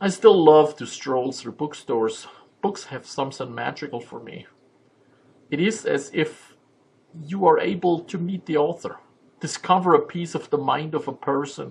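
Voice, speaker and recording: At a moderate pace, a man with a fairly high pitch speaks with ordinary pitch variation and big swings in loudness. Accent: German. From Germany. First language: German. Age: 50s. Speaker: vlogger and memoir writer. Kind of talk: personal vlog monologue. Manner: halting, many filler sounds.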